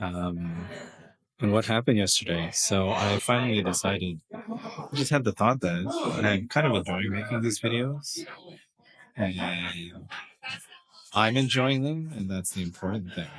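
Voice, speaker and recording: A man mumbles at a fairly slow pace and a fairly low pitch, with ordinary pitch variation and long, frequent pauses. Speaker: vlogger. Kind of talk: casual video log. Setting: kid's birthday party in an escape room. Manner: mumbling; halting.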